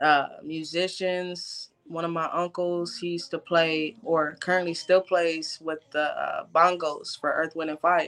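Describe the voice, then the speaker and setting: Spoken in an American accent, the delivery is monotone and flat. The pace is fairly slow. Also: woman, fairly low pitch for a woman. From southern California (LA area). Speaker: musician. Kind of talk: casual chat.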